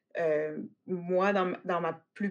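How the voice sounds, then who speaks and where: This woman talks in a monotone with flat intonation and a Quebec accent. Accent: Québécois French. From Quebec City. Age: 30s. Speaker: agriculture teacher. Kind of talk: interview. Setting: online call.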